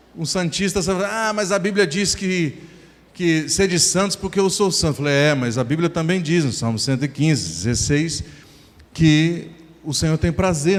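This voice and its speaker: Using lively intonation, a man talks at a fairly high pitch and a moderate pace. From interior of São Paulo state, Brazil. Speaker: pastor. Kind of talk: sermon. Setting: church.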